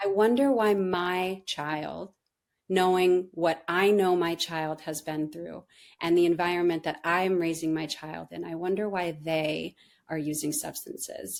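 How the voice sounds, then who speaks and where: An ordinary speaking voice from a woman with an American accent, fairly low in pitch, fairly slow and fairly even in intonation, on a very clean recording with a silent background. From Southern California. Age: 30s. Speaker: therapist. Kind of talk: interview.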